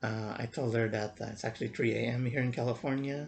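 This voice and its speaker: The voice is somewhat breathy, with fairly even intonation. Its pace is fairly quick. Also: man. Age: 40s. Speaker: vlogger. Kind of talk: casual vlog monologue. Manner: halting, many fillers and repeats.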